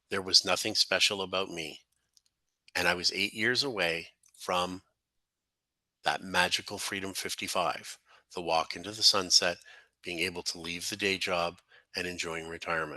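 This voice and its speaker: Against a quiet background, a man with a Canadian accent speaks at a very deep, low pitch in a bright, sharp tone, leaving long, frequent pauses. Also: fairly even intonation, moderate pace. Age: 60s. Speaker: real estate investor and coach. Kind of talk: personal story presentation.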